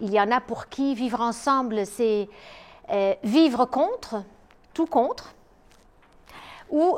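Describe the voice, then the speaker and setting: The pace is very slow, broken by long, frequent pauses. Intonation is lively throughout. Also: woman. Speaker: psychologist and lecturer. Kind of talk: lecture. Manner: hesitant, many filler sounds.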